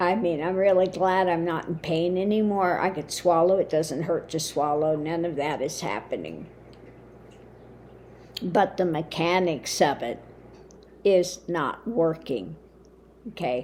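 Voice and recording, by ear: A woman's croaky, fairly low voice with a slightly mellow tone, ordinary pitch variation, a fairly slow pace and long, frequent pauses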